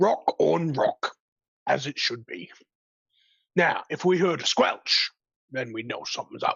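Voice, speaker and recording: In a raspy, put-on character voice at a middle pitch, the speaker goes at a fairly slow pace with long, frequent pauses. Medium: actual play.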